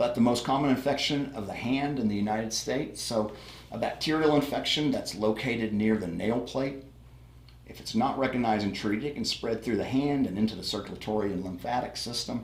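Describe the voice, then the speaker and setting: With audible room echo, a man talks at a fairly quick pace in a medium pitch with ordinary pitch variation. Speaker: paramedic instructor. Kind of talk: lecture. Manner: fast; casual, with fillers.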